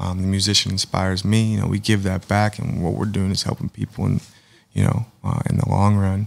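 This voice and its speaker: In an American accent, a man talks at a fairly quick pace with a fairly low pitch and monotone, flat intonation. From Pittsburgh area, Pennsylvania; Pennsylvania. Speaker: painter; podcast guest. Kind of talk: casual interview. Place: studio.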